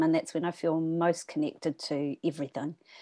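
Against a quiet background, a woman with a New Zealand accent speaks at a moderate pace in a dark, mellow tone. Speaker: writer and former therapist. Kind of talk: casual conversation; poetry reading. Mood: thoughtful, sincere. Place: home room. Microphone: video call.

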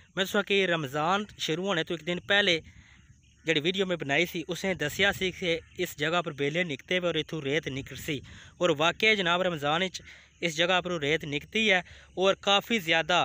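The man's voice sits high and has a bright, sharp tone. His intonation is fairly even, and the sound is dry with no echo. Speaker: vlogger. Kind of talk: casual vlog chat. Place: waterside. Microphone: phone near.

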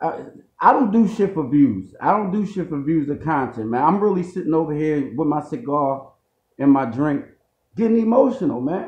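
Moderate pace with audible room echo. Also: man. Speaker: reaction vlogger. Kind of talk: casual vlog chat. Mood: emotional, insistent. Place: home room. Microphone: phone near.

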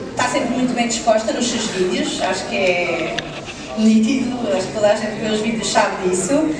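At a fairly quick pace, the speech comes through noticeable background noise and audible room echo. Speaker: event moderator. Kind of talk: stage presentation. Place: hall.

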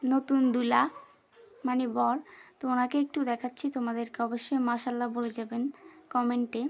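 With monotone, flat intonation, a woman speaks in a high pitch. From Bangladesh, Noakhali. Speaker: vlogger. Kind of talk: vlog narration. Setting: at home, rooftop garden.

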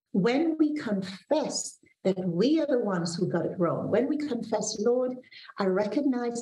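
Light background noise and audible room echo fill the recording. A woman speaks at a fairly slow pace. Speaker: pastor. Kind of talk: devotional sermon with prayer. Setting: video call from office. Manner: earnest, warm, measured preaching delivery. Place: home room. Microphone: video call.

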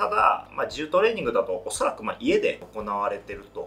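There is faint music in the background. A man speaks at a fairly quick pace. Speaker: fitness trainer. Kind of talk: tutorial. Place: studio.

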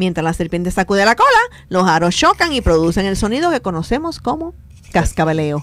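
A woman with a plain, everyday voice and medium pitch speaks at a fairly quick pace with lively intonation, in a dry sound with no echo. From Puerto Rico. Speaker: radio host. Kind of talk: casual chat. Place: studio.

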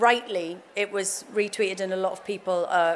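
A woman speaks with ordinary pitch variation. Light background noise can be heard. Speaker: guest. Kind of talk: interview answer. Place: stage. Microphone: podium.

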